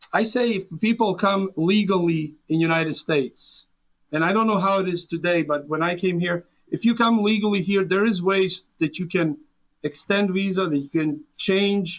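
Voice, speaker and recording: A man with a Serbian accent and a high pitch talks at a moderate pace, with ordinary pitch variation. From Serbia, rural small town. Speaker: immigrant business owner. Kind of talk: interview.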